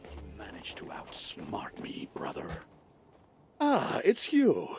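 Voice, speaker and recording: A man puts on a character voice with an extremely high pitch. He speaks at a fairly slow pace. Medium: video game. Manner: friendly, warm.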